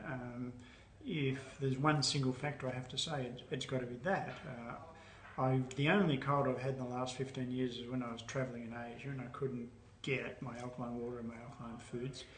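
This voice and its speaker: Through audible room echo and noticeable background noise, a man speaks at medium pitch in a monotone, flat intonation. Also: fairly quick pace. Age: 70s. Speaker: alkaline diet educator. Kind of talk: interview answers.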